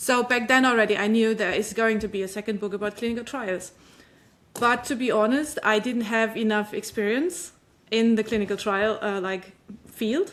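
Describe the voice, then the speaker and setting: On a very clean recording with a silent background, a woman with a non-native accent speaks at a moderate pace, fairly high in pitch with ordinary variation. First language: not English. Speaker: author. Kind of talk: interview. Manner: halting.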